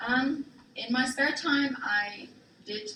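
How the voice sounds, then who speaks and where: The speaker has a German accent and ordinary pitch variation, heard through noticeable background noise and audible room echo. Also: woman. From Germany, Frankfurt (early childhood in Thailand). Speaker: military spouse, guest presenter. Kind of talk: class presentation. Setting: classroom with students.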